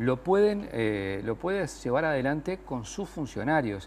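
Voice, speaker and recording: A man with a normal speaking voice, lively intonation, and a moderate pace. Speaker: politician, former history teacher. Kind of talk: political debate on TV.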